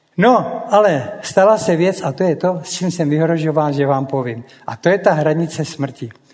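Lively in intonation, a man speaks in a high pitch with hardly any pauses. Noticeable background noise runs underneath. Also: moderate pace. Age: old. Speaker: former pilot. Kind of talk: public talk.

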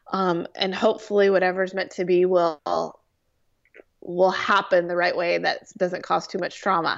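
With an American accent, a woman speaks at a moderate pace. Her intonation is monotone and flat. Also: medium pitch for a woman. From US West Coast, Orange County, California. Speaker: television producer. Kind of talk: casual interview.

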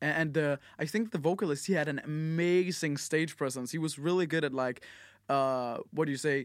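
In a very clean recording with a silent background, a man speaks with a Danish accent at a moderate pace. His pitch is fairly high, with ordinary pitch variation and very even loudness. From Denmark. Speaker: podcast host. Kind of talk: casual chat. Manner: halting, many fillers.

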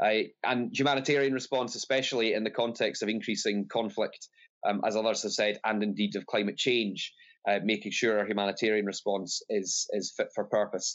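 A man with a Scottish accent, talking at a fairly quick pace, his loudness very even throughout. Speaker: politician. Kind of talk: panel debate. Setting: video call.

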